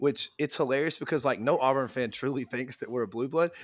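A man talks at a fairly quick pace, his pitch medium and its variation ordinary.

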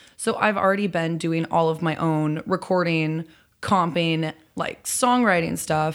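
A woman with a fairly low voice and an American accent speaks at a fairly slow pace. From Chicago area, Illinois. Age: young. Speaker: singer-songwriter. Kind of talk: casual chat. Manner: animated.

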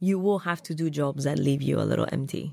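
A woman speaks at a moderate pace with a slight Colombian accent. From Colombia, Bogota. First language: Spanish. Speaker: food stylist. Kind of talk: interview conversation.

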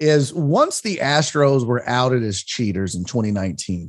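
Lively intonation runs through a plain, everyday voice, recorded against a quiet background. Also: man. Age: 40s. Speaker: stand-up comedian and sports radio host. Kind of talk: casual interview chat. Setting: remote call.

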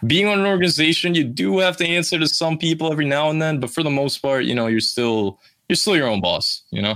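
Very fast and bright, sharp in tone, a man speaks with lively intonation and very even loudness. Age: 20s. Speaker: streamer and gamer. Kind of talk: casual chat. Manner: casual, filler-heavy.

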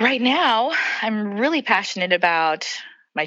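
With an ordinary speaking voice, a woman talks at a moderate pace. Her pitch is medium, and her intonation is lively. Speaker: pastor and author. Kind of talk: casual interview chat.

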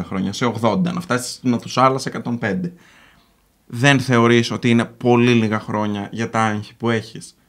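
Here a man talks at a moderate pace and medium pitch. His is an unremarkable speaking voice. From Greece, Patras. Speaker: YouTuber. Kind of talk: casual chat. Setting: studio with live audience.

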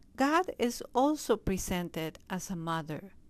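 A woman with a Spanish accent talks at a fairly slow pace and a medium pitch. Her intonation is lively, and the recording is very clean with a silent background. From Peru. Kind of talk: interview. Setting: convent office.

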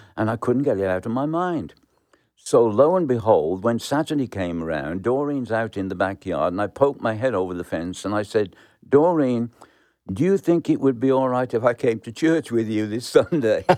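A man with a Birmingham accent talks at a moderate pace in a dark, mellow tone with lively intonation. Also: medium pitch for a man. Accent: Birmingham English (Brummie). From England, Birmingham. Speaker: pastor. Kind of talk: testimony.

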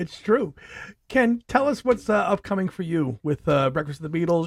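A man with an American accent and a high pitch talks at a very fast pace. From New York City. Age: 40s. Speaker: podcast host. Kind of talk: casual chat.

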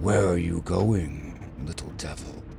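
Using a put-on character voice, a man speaks fairly slowly at a very deep, low pitch over clear background noise. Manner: grumbling.

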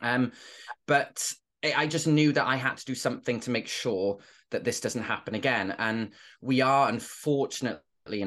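A man with a Welsh accent speaks at a fairly slow pace with ordinary pitch variation against a quiet background. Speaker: former teacher and inclusion trainer. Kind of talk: interview conversation.

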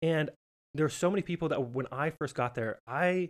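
An ordinary speaking voice with an American accent moves at a fairly quick pace with lively intonation, recorded dry and close with no echo. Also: man. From Montana, US. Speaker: professional entertainer and podcast host. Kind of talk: interview, casual chat.

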